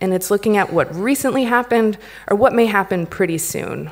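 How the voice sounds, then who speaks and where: Against a quiet background, the speaker uses lively intonation in an American accent. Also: woman. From United States. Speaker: company founder and CEO; conference speaker. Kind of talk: conference talk. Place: stage. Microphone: podium.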